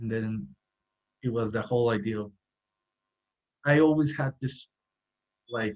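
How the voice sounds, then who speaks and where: A man speaks at medium pitch and a moderate pace with ordinary pitch variation. He leaves long, frequent pauses. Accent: Spanish. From Mexico, Sinaloa. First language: Spanish. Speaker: cafe owner and architect. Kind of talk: podcast interview. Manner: halting.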